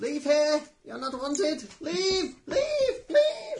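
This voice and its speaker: Using a squeaky, put-on character voice of extremely high pitch, a man speaks at a very slow pace. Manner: aggressive, hostile.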